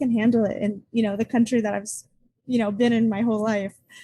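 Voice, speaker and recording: The voice has a dark, mellow tone, is somewhat breathy, and carries an American accent with fairly even intonation. The sound is dry and close, with no echo. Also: woman. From United States. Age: 20s. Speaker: student and travel podcaster. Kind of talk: podcast interview.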